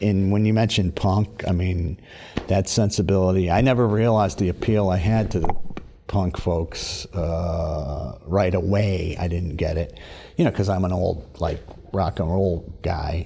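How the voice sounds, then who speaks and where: A man speaks at a very deep, low pitch and a fairly slow pace, with ordinary pitch variation. His loudness stays very even over noticeable background noise. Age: 60s. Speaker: stand-up comedian. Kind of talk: interview conversation. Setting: theatre space. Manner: halting, self-interrupting.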